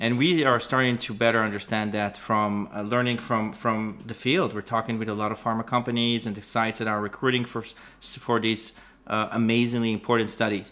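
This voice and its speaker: A man with an Israeli accent, medium pitch, a bright, sharp tone, ordinary pitch variation and a moderate pace. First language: Hebrew. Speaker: biotech startup founder and CEO. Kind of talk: interview. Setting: video call. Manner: halting, many fillers.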